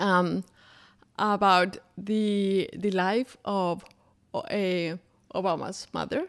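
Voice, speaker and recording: A woman with a Colombian accent and ordinary pitch variation. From Colombia, Bogotá. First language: Spanish. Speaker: interpreter and small business founder. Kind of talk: interview conversation.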